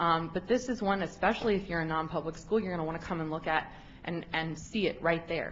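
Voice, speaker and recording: Noticeable background noise surrounds a woman whose voice is fairly low-pitched. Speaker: public commenter at education board meeting. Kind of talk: public testimony. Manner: fast; many filler ums.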